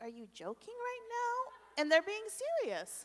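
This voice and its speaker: A woman talks at a moderate pace. Her pitch makes very wide swings. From Canada, Korean family. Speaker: ministry leader; conference speaker. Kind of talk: testimony. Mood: reflective, candid. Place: church. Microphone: handheld.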